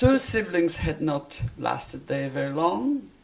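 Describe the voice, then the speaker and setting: Noticeable background noise fills the recording. Through it, a woman talks fairly slowly. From Poland. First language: Polish. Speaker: interviewee, Siberia deportation survivor. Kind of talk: interview, life story. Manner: halting.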